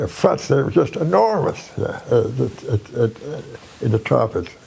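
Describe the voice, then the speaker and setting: A man talks at a fairly slow pace. Noticeable noise sits in the background. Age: 80s+. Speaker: war veteran. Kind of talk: interview answer.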